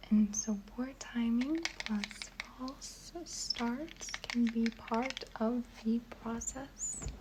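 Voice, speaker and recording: Against noticeable background noise, a soft-spoken voice talks at a very slow pace with hardly any pauses. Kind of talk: reading aloud from a website.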